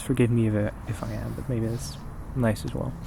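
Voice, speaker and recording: With a relaxed tone, a man talks at a fairly quick pace and medium pitch, showing ordinary pitch variation. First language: not English. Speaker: poetry reader and video host. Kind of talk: casual chat to camera between poetry readings. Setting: outdoors in an empty parking lot at night. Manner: relaxed, halting with fillers; soft, calm.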